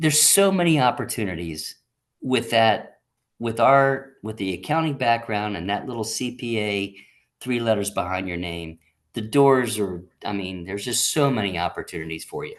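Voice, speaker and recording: Against a quiet background, a man talks at a moderate pace in a medium pitch. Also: lively intonation. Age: 60s. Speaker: accountant. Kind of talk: interview. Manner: halting, many repeated words; animated.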